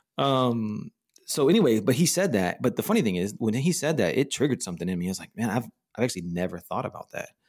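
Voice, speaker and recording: A man with an American accent talks very fast at medium pitch, his pitch swinging very widely. The recording is very clean with a silent background. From Texas (Dallas-Fort Worth). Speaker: church planting coach and consultant. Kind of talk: casual interview. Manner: animated, laughs often.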